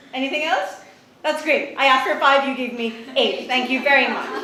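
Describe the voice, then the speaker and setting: A woman's high voice at a fairly quick pace with ordinary pitch variation, amid noticeable background noise and audible room echo. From Bangladesh. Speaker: event host. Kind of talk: speaker introduction.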